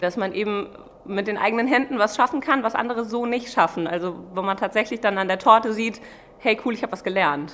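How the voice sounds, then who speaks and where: Fairly high in pitch, a woman talks at a fairly quick pace with ordinary pitch variation against noticeable background noise. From Germany, Mainz. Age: 30s. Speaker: pastry chef. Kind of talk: interview.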